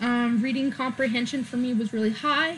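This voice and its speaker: A woman with an American accent speaks in a high pitch with a bright, sharp tone. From US West Coast, Oregon. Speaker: vlogger. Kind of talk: opinion vlog. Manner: halting, many fillers.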